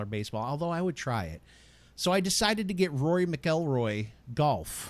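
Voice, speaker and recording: In a very clean recording with a silent background, a man with an American accent speaks at a fairly quick pace in an animated tone, his fairly high pitch swinging very widely. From US. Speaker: podcast host. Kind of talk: casual chat.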